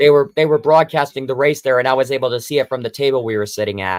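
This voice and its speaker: Dry and close with no echo, a plain, everyday voice moves at a fairly quick pace with ordinary pitch variation. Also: man. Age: 20s. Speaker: livestream co-host. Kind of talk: casual chat.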